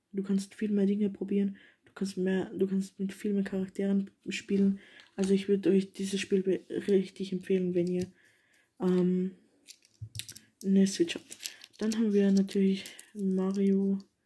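A woman with a dark, mellow, somewhat breathy tone, monotone, flat intonation, a fairly slow pace, and long, frequent pauses. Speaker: young gaming vlogger. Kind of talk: casual vlog chat. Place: home room. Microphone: phone near.

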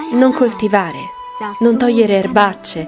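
Music plays in the background as a woman talks. Her voice is fairly high and her pace fairly slow. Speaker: narrator. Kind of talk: documentary narration.

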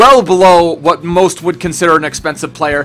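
At a fairly quick pace, a man speaks in a high voice. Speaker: gaming youtuber. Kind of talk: casual gaming commentary. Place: home room.

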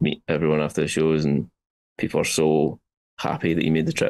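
Speaking at a fairly quick pace, a man with a Scottish accent has a very deep, low pitch. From Scotland. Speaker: metal guitarist. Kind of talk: interview answer. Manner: casual, enthusiastic. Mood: enthusiastic, happy. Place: home room. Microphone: video call.

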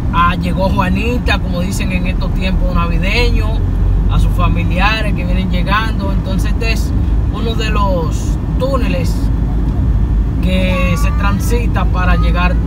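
Fairly slow speech in a dry sound with no echo, over loud background noise. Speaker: vlogger passenger. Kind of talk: casual vlog narration. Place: car. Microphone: phone near.

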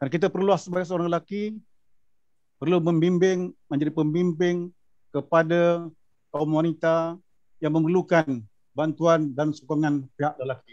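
A man talks in a high pitch at a fairly slow pace. His intonation stays fairly even over a quiet background. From Malaysia, Negeri Sembilan; Malaysia. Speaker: former imam and judge; speaker, panelist. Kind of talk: panel discussion. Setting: video call. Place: office. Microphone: video call.

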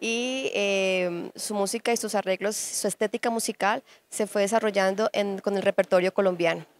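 At a fairly slow pace, a woman speaks with fairly even intonation in a dry sound with no echo and light background noise. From Colombia, Huila; Colombia. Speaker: musician and festival director. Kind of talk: interview. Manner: hesitant with many fillers. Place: hall. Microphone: handheld.

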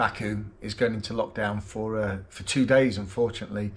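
Somewhat breathy, a man talks at a fairly quick pace in a fairly low pitch. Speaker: travel vlogger. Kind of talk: casual vlog chat. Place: home room. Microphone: phone near.

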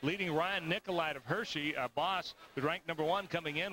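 A man at a moderate pace with fairly even intonation, dry sound with no echo, and noticeable background noise. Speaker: sports commentator. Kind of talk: live sports commentary. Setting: archive broadcast of a wrestling arena event. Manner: steady, formal play-by-play delivery. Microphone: headset.

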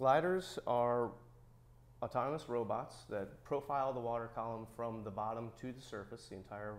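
Ordinary pitch variation marks a man's speech, delivered at a moderate pace. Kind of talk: interview answer. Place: workshop. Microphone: lapel.

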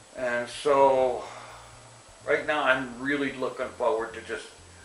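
A man at a fairly slow pace, with music behind him and audible room echo. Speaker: vlogger giving an update. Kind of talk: casual vlog chat. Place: home room.

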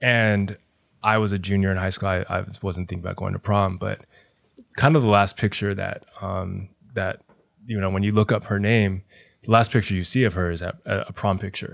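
Against a quiet background, a man talks in a fairly low voice. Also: moderate pace. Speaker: high school teacher and DJ; high school teacher, DJ. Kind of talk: casual interview conversation. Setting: on camera. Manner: animated. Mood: reflective, personal storytelling. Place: home room. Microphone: studio mic.

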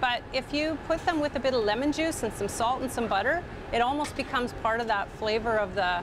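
A woman talks at a fairly quick pace. Clear background noise can be heard. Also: fairly high pitch for a woman, ordinary pitch variation.

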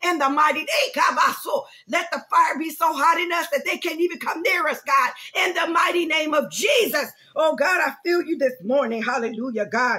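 Over noticeable background noise, a woman projects a raised voice at an extremely high pitch, with lively intonation and a moderate pace. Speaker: pastor. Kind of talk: prayer. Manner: fervent.

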